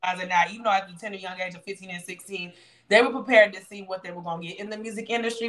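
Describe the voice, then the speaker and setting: A woman speaks with a Southern US accent at a very fast pace. The background is quiet. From Louisiana. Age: 30s. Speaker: online show host. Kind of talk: interview. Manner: animated. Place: home room. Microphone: video call.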